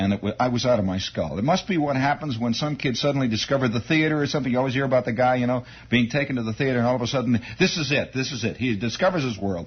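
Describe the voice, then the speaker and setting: Speaking at a very fast pace, a man uses lively intonation at a medium pitch. His voice is somewhat breathy. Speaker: radio host telling a story from his youth. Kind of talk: radio monologue, storytelling anecdote. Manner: conversational, animated.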